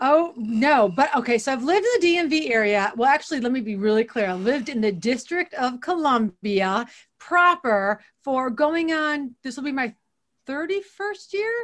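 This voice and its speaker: A woman's high voice with very wide pitch swings. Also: moderate pace. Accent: American. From Ohio, Toledo. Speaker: business consultant and author. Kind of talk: casual interview.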